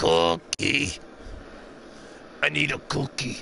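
A man puts on a character voice, very deep, low and gravelly. Light background noise is audible. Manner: hungry, demanding.

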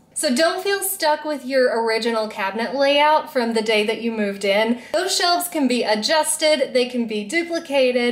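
With a high voice, a woman talks at a moderate pace. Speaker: home organizing vlogger. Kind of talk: tutorial. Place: kitchen.

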